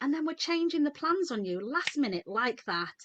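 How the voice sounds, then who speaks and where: A woman with a British accent talks at a fairly quick pace in a bright, sharp tone. Her pitch swings very widely. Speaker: midwife. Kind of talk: webinar talk. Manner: fast; animated.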